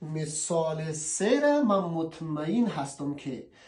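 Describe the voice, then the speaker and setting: The man's speech has very wide pitch swings, and audible room echo surrounds it. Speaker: language teacher. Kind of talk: tutorial. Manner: casual.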